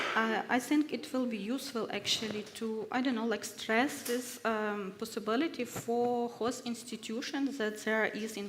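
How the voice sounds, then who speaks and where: Fairly slow speech with fairly even intonation, set against noticeable background noise. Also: woman. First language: not English. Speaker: researcher at risk, research fellow. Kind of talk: panel discussion. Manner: halting, many fillers.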